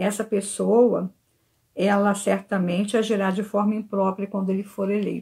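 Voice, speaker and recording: Her tone dark and mellow, a woman speaks at medium pitch, somewhat breathy, with monotone, flat intonation. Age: 60s. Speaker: church member giving a talk. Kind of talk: church talk. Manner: earnest.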